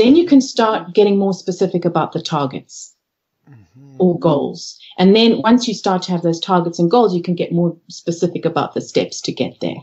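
Somewhat breathy and medium in pitch, a woman talks at a moderate pace with ordinary pitch variation and big swings in loudness. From Zimbabwe and South Africa. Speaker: organisational consultant and coach. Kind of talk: interview. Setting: Skype call from home office.

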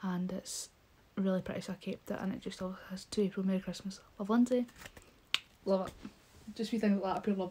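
A woman speaks with a Scottish accent. Her pace is very fast. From Scotland. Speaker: YouTuber. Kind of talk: casual vlog haul. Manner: animated. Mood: cheerful, warm. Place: home room. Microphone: phone near.

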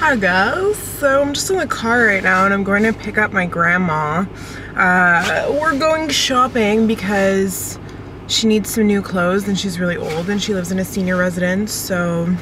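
A woman at a moderate pace, in a dry sound with no echo and noticeable background noise. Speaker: vlogger. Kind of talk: casual vlog chat. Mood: cheerful, slightly self-conscious. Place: car.

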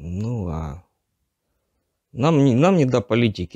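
Over a quiet background, a man with a dark, mellow tone speaks very slowly with lively intonation, the sound dry with no echo. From Donetsk region, eastern Ukraine; Ukraine. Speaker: captured conscript soldier; interviewee. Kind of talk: interview testimony. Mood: subdued, tense. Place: empty room.

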